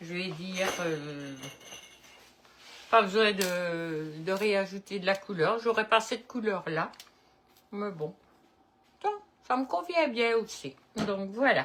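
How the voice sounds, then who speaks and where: With lively intonation and a medium pitch, a woman speaks at a very slow pace, leaving long, frequent pauses. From Belgium, Liège-Namur area. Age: 70s. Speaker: cooking video host. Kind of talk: casual chat; cooking tutorial. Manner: casual, hesitant with many euh.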